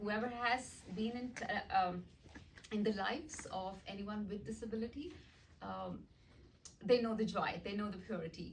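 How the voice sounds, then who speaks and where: Speaking at a moderate pace with long, frequent pauses, a woman uses a medium pitch and ordinary pitch variation, with audible room echo around her. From India, small town. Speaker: art teacher and nonprofit founder. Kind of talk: presentation. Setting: meeting with audience.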